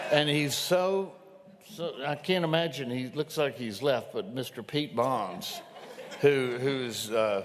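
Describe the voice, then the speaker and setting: A man speaks at a very slow pace in a fairly high pitch. His intonation is lively, and the room echo is audible. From Louisiana. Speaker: event host introducing speaker. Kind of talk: speaker introduction.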